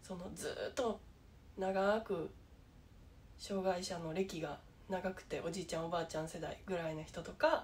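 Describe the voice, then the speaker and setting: Over light background noise, a woman with a Kansai accent speaks at a moderate pace with ordinary pitch variation and long, frequent pauses. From Japan. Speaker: YouTuber with low vision; vlogger sharing low-vision experience. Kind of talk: casual vlog monologue; casual vlog chat. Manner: halting, many fillers. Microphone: phone near.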